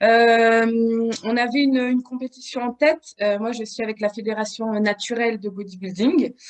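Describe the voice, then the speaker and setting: At a moderate pace and with hardly any pauses, a woman speaks in a fairly high voice with fairly even intonation, the sound dry and close with no echo. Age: 30s. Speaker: bodybuilding competitor and fitness coach. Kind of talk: podcast interview. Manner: hesitant, many fillers.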